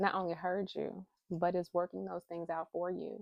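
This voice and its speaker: This woman's voice sits fairly low in pitch. She speaks at a moderate pace with fairly even intonation. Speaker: spiritual reader and motivational speaker. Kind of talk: spiritual card reading talk. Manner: warm encouraging.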